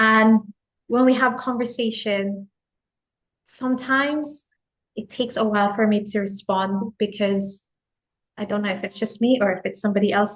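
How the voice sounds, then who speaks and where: A woman with a Filipino accent talks at a fairly high pitch and moderate pace. Her voice is somewhat breathy, with fairly even intonation. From Philippines. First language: Tagalog. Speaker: office worker. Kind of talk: casual chat.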